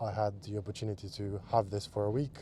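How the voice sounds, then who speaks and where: A man's fairly low, dark and mellow voice, flat and monotone, at a fairly slow pace. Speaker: car vlogger. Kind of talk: casual driving commentary. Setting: in a car. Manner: hesitant, many fillers.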